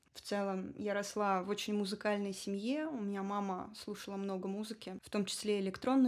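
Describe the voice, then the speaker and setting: This is a woman's voice. It sits at a medium pitch. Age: 30s. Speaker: electronic musician and singer. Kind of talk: podcast interview.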